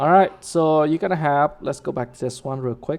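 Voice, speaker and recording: The pace is moderate. A woman talks with pitch that moves in an ordinary way. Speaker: developer workshop instructor. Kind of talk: live coding tutorial. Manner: casual, many fillers.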